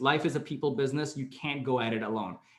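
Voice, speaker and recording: A man with a Canadian accent talks at a very fast pace. His pitch is medium, with ordinary variation. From Canada. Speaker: career mentor. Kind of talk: online Q&A session.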